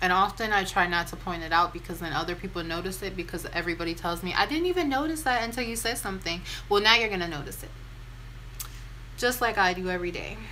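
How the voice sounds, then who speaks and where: The speaker goes at a very fast pace with ordinary pitch variation, and audible room echo is present. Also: woman. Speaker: beauty and lifestyle vlogger. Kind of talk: casual chat. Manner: conversational, rambling with fillers.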